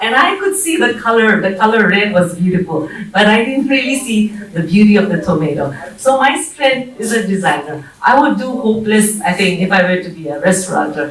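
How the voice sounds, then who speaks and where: Over noticeable background noise and audible room echo, a woman at medium pitch speaks at a fairly quick pace with lively intonation. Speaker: bridal wear designer and entrepreneur. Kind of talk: panel talk. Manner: hesitant, with fillers.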